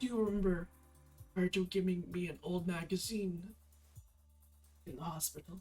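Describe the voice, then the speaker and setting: A raspy, put-on character voice at middle pitch and a moderate pace, with faint music in the background. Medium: game stream. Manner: hesitant, apologetic.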